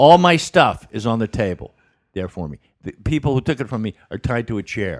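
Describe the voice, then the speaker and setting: Speaking at a fairly quick pace and medium pitch, a man shows vocal fry, very wide pitch swings, and big swings in loudness. The sound is dry and close, with no echo. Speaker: comedian. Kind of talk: casual chat. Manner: joking, quick-witted.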